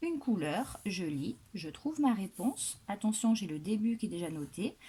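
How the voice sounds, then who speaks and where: A woman speaks at a fairly slow pace in a southwestern French accent, her medium-pitched voice somewhat breathy with a dark, mellow tone. Her pitch swings very widely. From southwestern France. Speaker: primary school teacher. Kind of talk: tutorial. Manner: instructional, deliberate.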